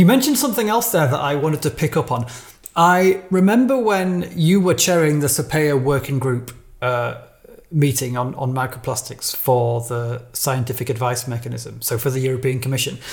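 Somewhat breathy, a man speaks with a British accent. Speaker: podcast host. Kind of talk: interview, conversational.

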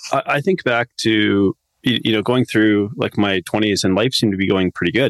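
A man with a plain, everyday voice speaks at a moderate pace with a fairly low pitch. The sound is dry and close, with no echo. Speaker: nutrition coach and podcaster. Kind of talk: casual interview, personal storytelling.

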